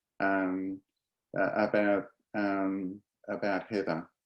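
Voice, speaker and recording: This man speaks with an Australian accent and a fairly low pitch. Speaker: professor. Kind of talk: lecture. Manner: halting, many fillers.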